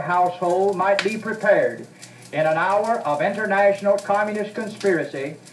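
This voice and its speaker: Noticeable background noise sits behind a man speaking at a moderate pace with a high-pitched voice. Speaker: preacher / political speaker on a 1968 spoken word record. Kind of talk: fiery sermon-style political speech. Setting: old vinyl record recording. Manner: earnest, fervent, preaching.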